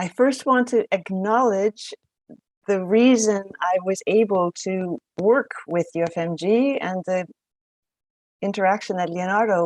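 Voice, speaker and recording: In a normal speaking voice, a woman talks at a medium pitch with ordinary pitch variation, the sound dry and close with no echo. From Canada. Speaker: professor. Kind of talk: lecture.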